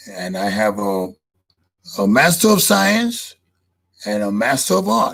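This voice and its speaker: The background is silent and the recording very clean. A man speaks very slowly in it. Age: 70s. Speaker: podcast host. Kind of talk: casual monologue. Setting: live stream.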